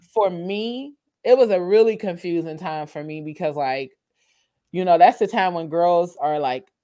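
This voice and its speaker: A woman's dark, mellow voice with lively intonation and big swings in loudness, on a very clean recording with a silent background. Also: moderate pace. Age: 30s. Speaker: podcaster and content creator. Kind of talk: casual chat.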